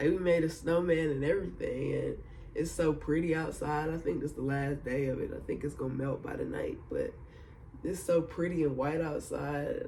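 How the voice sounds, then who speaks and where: A man's relaxed tone at a moderate pace, with audible room echo. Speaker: vlogger. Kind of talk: casual video diary. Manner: laid-back, relaxed; filler-heavy, casual.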